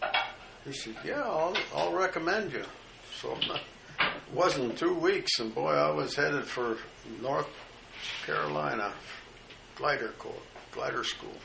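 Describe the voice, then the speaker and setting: Over noticeable background noise, a man with an American accent speaks at a fairly slow pace, with long, frequent pauses. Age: 80s+. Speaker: World War II veteran. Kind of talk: oral history recollection at breakfast table. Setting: home kitchen, family in background.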